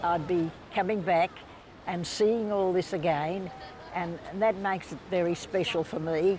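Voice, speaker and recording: Over noticeable background noise, a woman with an Australian accent speaks at a fairly slow pace, with a fairly low pitch and fairly even intonation. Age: 80s+. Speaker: local resident. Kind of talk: interview.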